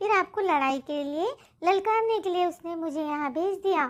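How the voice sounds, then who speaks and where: A female-sounding cartoonish character voice pitched extremely high. It moves at a moderate pace. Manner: polite, respectful to the king.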